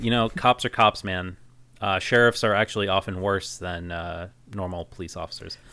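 With a plain, everyday voice, a man speaks at a moderate pace and fairly low pitch with fairly even intonation, in a very clean recording against a silent background. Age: 30s. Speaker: podcast co-host. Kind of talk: casual chat.

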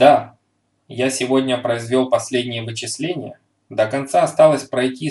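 A quiet background behind a natural voice reading aloud

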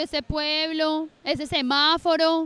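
This woman's voice is high in pitch. Its tone is bright and sharp.

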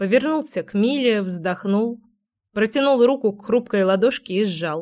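The voice is reading aloud in a plain way. The background stays quiet.

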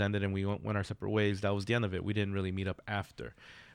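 In an American accent, a man speaks at a fairly low pitch, the sound dry and close with no echo. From New York City. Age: 40s. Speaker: podcaster and student. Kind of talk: audio diary monologue. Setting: home recording with microphone. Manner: halting, with frequent repetitions.

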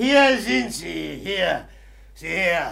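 Using a put-on character voice, a man speaks very slowly with a bright, sharp tone, vocal fry and very wide pitch swings.

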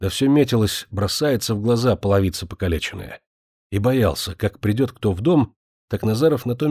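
A natural reading voice is heard against a quiet background.

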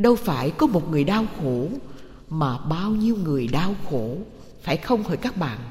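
The speaker reads aloud in a natural voice.

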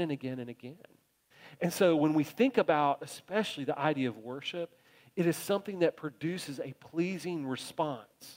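Recorded very clean against a silent background, dry and close with no echo, a man with an unremarkable speaking voice talks at a fairly quick pace with a fairly high pitch and ordinary pitch variation. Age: 50s. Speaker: pastor. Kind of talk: sermon.

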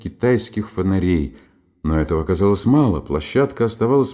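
With lively intonation, a person reads the text aloud in a natural voice.

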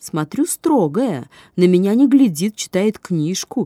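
Plain reading aloud carries intonation that moves in a lively way.

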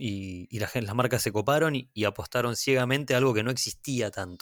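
This man talks at a moderate pace in a Rioplatense accent, with ordinary pitch variation. The sound is dry and close with no echo, and the recording is very clean over a silent background. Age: 30s. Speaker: comedian and content creator. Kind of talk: casual chat.

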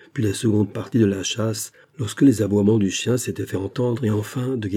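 The speaker is reading aloud in a natural voice. Intonation stays fairly even.

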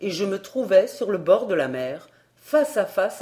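What comes through is plain reading aloud.

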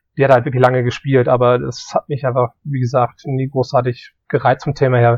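The pace of the speech is fairly quick. Its intonation stays monotone and flat. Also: man. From northern Germany, Hamburg. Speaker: film podcast co-host. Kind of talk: casual chat.

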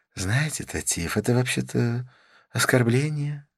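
In a very clean recording with a silent background, a man uses a put-on character voice at medium pitch. He moves at a fairly slow pace with lively intonation, a slightly husky edge and vocal fry.

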